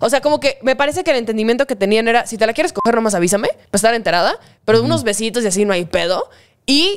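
A woman with a Mexican accent, very fast pace and lively intonation. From Mexico. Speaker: online content creator. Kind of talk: casual chat. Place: home room. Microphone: studio mic.

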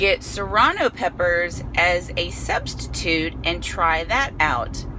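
The speech moves at a very slow pace. Light noise sits in the background. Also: woman. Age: 40s. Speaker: vlogger. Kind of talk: casual vlog storytelling while eating. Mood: animated, amused. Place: car. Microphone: phone near.

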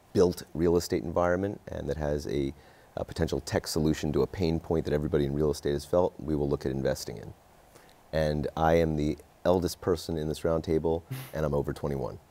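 A man talks at a fairly quick pace with a very deep, low pitch. His intonation is fairly even. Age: 30s. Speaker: venture capital investor. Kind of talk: panel discussion. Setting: studio. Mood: relaxed, lightly joking. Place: studio.

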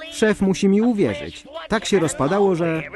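Music plays in the background as a man speaks at a fairly slow pace in a high pitch. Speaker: fan voice-over performer (lektor). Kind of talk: Polish voice-over reading of a translated cartoon (szeptanka).

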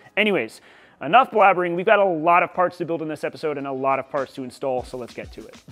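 Against faint music in the background, a man talks at a very fast pace with big swings in loudness. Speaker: channel host. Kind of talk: casual vlog chat. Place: workshop. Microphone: lapel.

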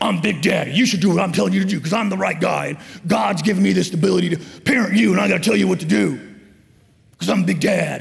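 Loud and very fast, a man performs a put-on character voice at a high pitch. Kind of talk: sermon. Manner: loud, authoritative.

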